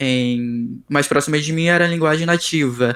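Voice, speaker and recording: This is a man with a fairly high pitch. His pitch varies an ordinary amount. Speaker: software developer. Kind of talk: interview. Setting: video call. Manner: halting.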